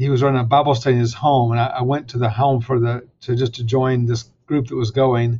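The man's voice is somewhat breathy. His intonation stays monotone and flat. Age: 60s. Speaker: seminary president and author. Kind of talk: interview about faith and his book.

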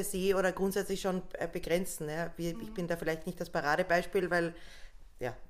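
The speaker moves at a fairly quick pace with fairly even intonation but leaves long, frequent pauses. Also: woman. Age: 30s. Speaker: social worker running a shelter. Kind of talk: casual chat.

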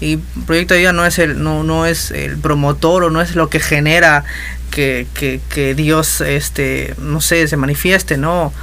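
Amid noticeable background noise and audible room echo, a man speaks at a fairly slow pace. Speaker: musician and music teacher. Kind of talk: casual interview. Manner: halting.

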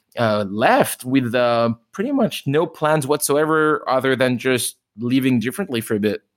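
A man speaks in a French accent at a moderate pace. His pitch is medium, with ordinary pitch variation. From France. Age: 30s. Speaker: restaurant owner. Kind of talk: interview. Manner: animated.

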